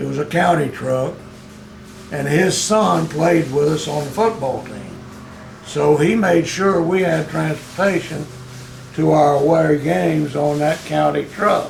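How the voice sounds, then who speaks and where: Over music in the background, a man with an American accent talks at a fairly slow pace, his fairly high pitch showing ordinary variation. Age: 80s+. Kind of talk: interview answer.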